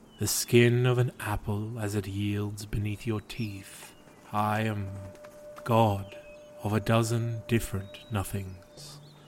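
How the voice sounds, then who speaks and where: Someone does a put-on character voice at a very slow pace, with clear background noise behind it. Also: man. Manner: sighing, melancholy, self-deprecating.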